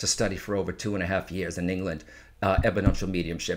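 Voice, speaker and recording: The background stays quiet as a man speaks. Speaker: psychic medium. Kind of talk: casual interview conversation. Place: home room. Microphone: studio mic.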